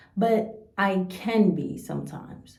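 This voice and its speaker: Audible room echo surrounds this voice. A woman talks with an American accent. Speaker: YouTuber. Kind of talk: reaction video commentary. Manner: blunt, stern.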